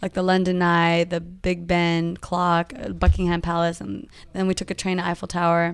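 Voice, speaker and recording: In a very clean recording with a silent background, a woman speaks at a moderate pace with a fairly low pitch and fairly even intonation. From Northern California (Modesto). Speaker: entertainer and social media influencer. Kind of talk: casual interview. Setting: office.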